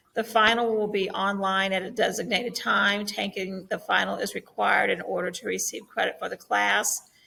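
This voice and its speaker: A woman talking with hardly any pauses amid noticeable background noise. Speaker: science teacher. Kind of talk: online class orientation. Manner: slow; hesitant fillers.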